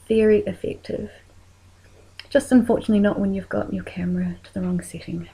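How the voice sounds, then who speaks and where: A woman's voice with a New Zealand accent. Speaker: makeup tutorial creator. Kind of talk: tutorial.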